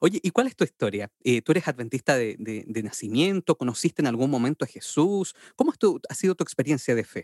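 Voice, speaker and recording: A man talks at a fairly quick pace with hardly any pauses, his fairly high pitch swinging very widely. The sound is dry and close, with no echo. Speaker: podcast host. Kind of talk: casual interview. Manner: animated.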